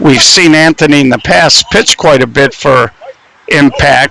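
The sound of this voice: A man with a medium pitch and a bright, sharp tone shows vocal fry and ordinary pitch variation.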